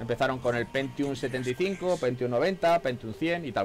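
Over light background noise, a man speaks at a medium pitch with lively intonation. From Spain. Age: 40s. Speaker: gaming streamer. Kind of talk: live gameplay commentary. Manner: animated. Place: home room. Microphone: headset.

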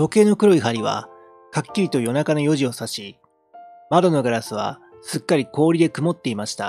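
Faint music in the background, a moderate pace, and a dry sound with no echo. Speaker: amateur reader / game streamer. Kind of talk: literary audiobook reading. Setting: home recording with a handheld mic and audio interface.

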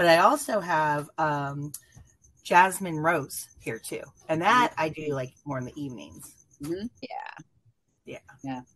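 Her pitch very deep and low, a woman speaks at a fairly slow pace with lively intonation. Big swings in loudness come with long, frequent pauses. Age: 50s. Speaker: viewer guest; guest. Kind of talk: casual chat. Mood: warm, animated. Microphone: video call.

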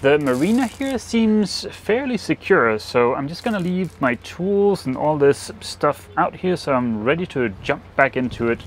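At a fairly slow pace, a man speaks with very wide pitch swings, the sound dry with no echo and light background noise behind him. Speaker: sailing vlogger. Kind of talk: casual vlog chat. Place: boat. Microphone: lapel.

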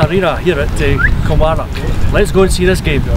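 There is noticeable background noise, though the sound itself is dry with no echo. A man talks at a fairly quick pace. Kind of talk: casual sports presenting. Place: stadium.

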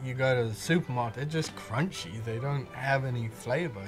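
A man talks with clear music in the background. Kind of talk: interview answer. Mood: relaxed, warm.

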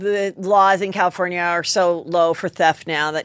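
A woman's fairly low voice with ordinary pitch variation. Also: dry sound with no echo. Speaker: podcast host. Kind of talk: comedic podcast commentary. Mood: animated, indignant comic riffing. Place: studio. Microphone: studio mic.

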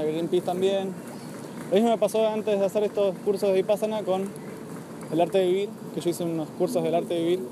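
Over noticeable background noise, a man with a high pitch talks at a very fast pace with fairly even intonation, the sound dry with no echo. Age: 20s. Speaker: vegan activist speaker. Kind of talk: public talk. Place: garden. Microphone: phone near.

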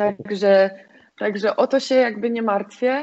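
Delivered at a moderate pace, the speech has monotone, flat intonation over a quiet background. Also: woman. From Poland, grew up in the mountains then Piła; Poland. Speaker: volleyball player; guest. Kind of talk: casual interview; interview answer. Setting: home, in quarantine. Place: home room. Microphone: video call.

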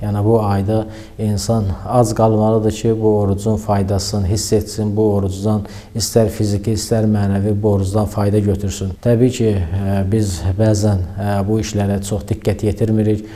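A man speaks at a moderate pace with a fairly low pitch and monotone, flat intonation. Audible room echo and noticeable background noise surround him. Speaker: religious preacher. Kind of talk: religious talk. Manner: hesitant fillers.

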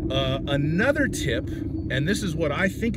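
Loud background noise surrounds dry, echo-free speech at a moderate pace. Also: man. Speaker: car salesman. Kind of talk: casual vlog advice. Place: car. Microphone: phone near.

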